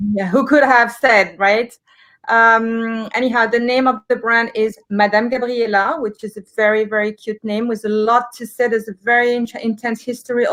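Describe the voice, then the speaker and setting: Flat and monotone, a woman with a French accent talks at a moderate pace and a fairly high pitch. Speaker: livestream host, beauty shop co-founder. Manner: hesitant, many fillers.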